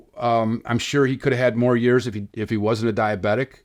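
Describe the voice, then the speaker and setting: Here is an ordinary speaking voice, a man's at medium pitch. He talks at a fairly quick pace with an American accent. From Chicago area. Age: 60s. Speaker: filmmaker and podcaster, son of a baseball player. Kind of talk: interview storytelling.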